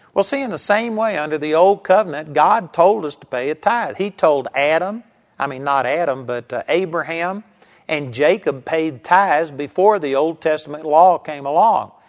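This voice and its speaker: This man has an ordinary speaking voice, pitched fairly high, with ordinary pitch variation, big swings in loudness, and a moderate pace. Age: 50s. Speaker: bible teacher. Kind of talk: sermon.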